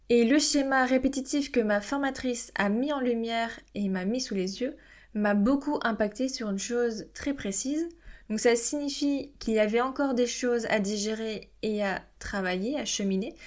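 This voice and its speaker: A woman's high-pitched voice, with ordinary pitch variation, moves at a moderate pace on a very clean recording with a silent background. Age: 20s. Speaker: podcast host, parenting coach. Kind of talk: solo podcast monologue.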